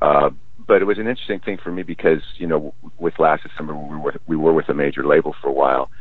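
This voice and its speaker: Noticeable background noise sits behind a man talking very fast. His pitch is very deep and low. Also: ordinary pitch variation. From Los Angeles, California. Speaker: musician, singer. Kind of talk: interview chat.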